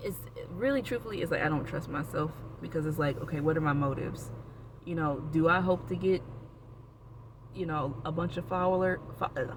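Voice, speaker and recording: In an American accent, the speaker goes at a fairly quick pace broken by long, frequent pauses. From Florida (Orlando). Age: 30s. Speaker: vlogger. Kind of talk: casual personal vlog. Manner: rambling, with many fillers and restarts.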